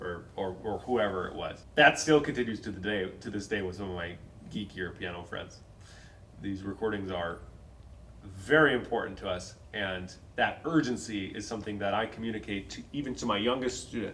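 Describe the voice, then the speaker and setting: With audible room echo, a man in an Upper Midwest accent talks at a moderate pace and a fairly low pitch, showing ordinary pitch variation and big swings in loudness. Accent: Upper Midwest American. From North Dakota, Fargo. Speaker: pianist and piano teacher. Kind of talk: casual chat.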